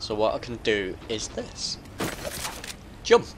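A man is speaking. Noticeable background noise is audible. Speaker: gaming YouTuber. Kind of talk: gameplay commentary. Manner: slurring.

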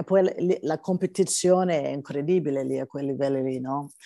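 In a dry space with no echo and a quiet background, a woman with an English accent speaks fairly slowly in a dark, mellow tone with fairly even intonation. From California, US. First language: English (speaking Italian). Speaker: gospel singer; interviewee. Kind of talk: interview. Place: home room. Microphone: video call.

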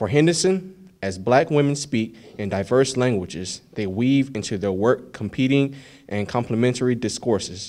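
Lively intonation marks this man's speech. He keeps a moderate pace. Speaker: occasion speaker. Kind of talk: formal academic address. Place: hall. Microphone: podium.

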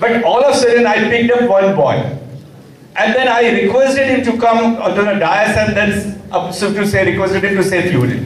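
Loudness stays very even throughout, with audible room echo and light background noise. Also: man, high pitch for a man, ordinary pitch variation, moderate pace. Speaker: government official; guest. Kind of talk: formal address to students. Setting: workshop hall with student audience.

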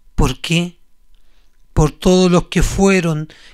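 A man's intense, high-pitched voice at a very slow pace with fairly even intonation. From Chile. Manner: intense, accusatory, rising to a spitting, rhythmic venom.

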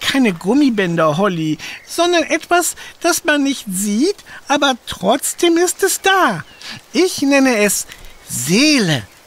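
In a put-on character voice with a high pitch and very wide pitch swings, the speaker goes at a fairly slow pace with long, frequent pauses. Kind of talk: children's audio drama. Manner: wise, philosophical.

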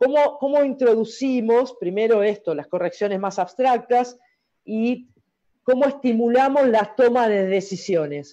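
Dark, mellow-toned woman in an Argentine accent, fairly slow, with lively intonation and a quiet background. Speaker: volleyball coaches' talk host. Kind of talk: interview. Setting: video call.

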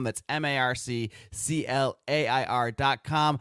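The recording of this man is dry with no echo and a quiet background, and his pitch shows ordinary variation. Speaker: podcast host. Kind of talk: podcast intro and promotion. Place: home room. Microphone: studio mic.

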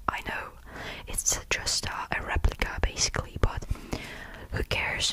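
Very slow whispering from a woman. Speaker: ASMR creator. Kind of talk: ASMR whisper show and tell. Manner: whispered, close-up, relaxing; casual, chatty, hesitant with fillers. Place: home room. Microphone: studio mic.

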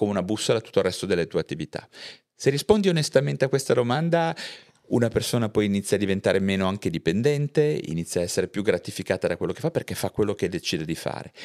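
The man talks very fast, his pitch swinging very widely, over a quiet background. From Liguria, Chiavari; Liguria. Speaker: psychiatrist; guest. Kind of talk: casual interview. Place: studio. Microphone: studio mic.

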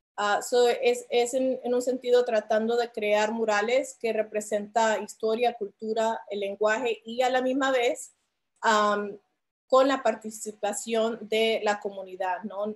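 At a very slow pace, a woman speaks in a fairly high pitch with monotone, flat intonation. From Philadelphia, US, Colombian and Puerto Rican family. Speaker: muralist artist. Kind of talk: panel presentation. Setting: video call. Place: home room. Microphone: video call.

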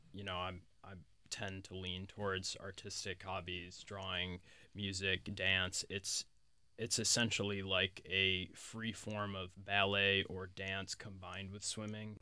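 A man's very deep, low pitch with a bright, sharp tone, monotone, flat intonation and a fairly slow pace. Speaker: guest. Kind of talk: interview answer. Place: studio. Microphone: studio mic.

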